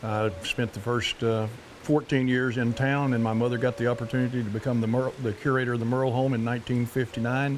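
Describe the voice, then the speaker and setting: A man with an Oklahoma accent, flat and monotone, fairly quick, with hardly any pauses and very even loudness. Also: medium pitch for a man. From Park Hill, Oklahoma. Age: old. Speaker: Cherokee elder. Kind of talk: interview answer, childhood memories.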